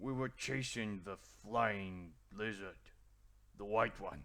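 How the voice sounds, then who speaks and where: A man puts on a raspy character voice, speaking at a very slow pace in a fairly low pitch. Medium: actual play. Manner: halting, broken grammar.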